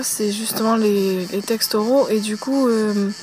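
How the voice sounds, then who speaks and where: With fairly even intonation, a woman talks at a fairly slow pace and fairly high pitch over noticeable background noise. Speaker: YouTuber. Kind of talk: casual Q&A vlog. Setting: outdoors at a campsite. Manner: hesitant, many fillers; speaking softly.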